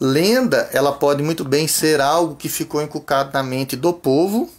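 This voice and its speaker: With a Brazilian accent, a man talks at a fairly high pitch. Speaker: Sunday school teacher. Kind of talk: lecture.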